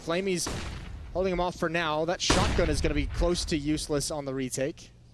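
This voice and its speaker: The speech moves at a fairly quick pace with fairly even intonation. Noticeable background noise is present. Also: man, fairly high pitch for a man. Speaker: esports caster. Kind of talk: live commentary. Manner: briefly stuttering.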